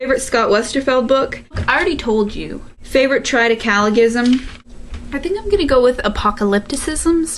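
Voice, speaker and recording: Over noticeable background noise, a woman with a high voice and an American accent talks at a fairly quick pace with lively intonation. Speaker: video blogger. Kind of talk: Q&A vlog. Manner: animated.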